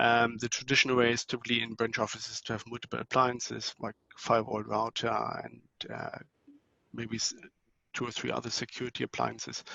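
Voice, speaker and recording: With a German accent, this voice moves at a moderate pace, with vocal fry and monotone, flat intonation. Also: man. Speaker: network technology vendor presenter. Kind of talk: conference talk. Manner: hesitant, many fillers.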